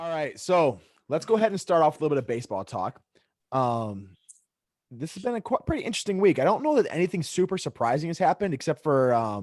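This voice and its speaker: A man talks at a very fast pace in a fairly high pitch with very wide pitch swings. The very clean recording has a silent background and a dry, close sound with no echo. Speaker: podcast host and teacher. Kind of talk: casual chat. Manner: animated.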